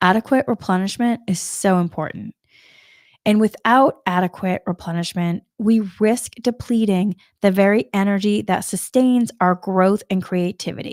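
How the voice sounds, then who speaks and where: Here a woman with a slight Boston accent speaks at a moderate pace and a medium pitch, with ordinary pitch variation. The sound is dry and close with no echo, on a very clean recording with a silent background. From US Northeast, Massachusetts. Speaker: spiritual coach. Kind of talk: spiritual talk. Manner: casual, meandering.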